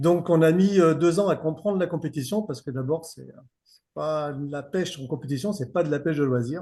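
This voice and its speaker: A man talks at a fairly quick pace with a fairly high pitch and ordinary pitch variation. His tone is dark and mellow, with big swings in loudness. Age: 50s. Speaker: fishing guide. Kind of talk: podcast interview. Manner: casual, many hesitations.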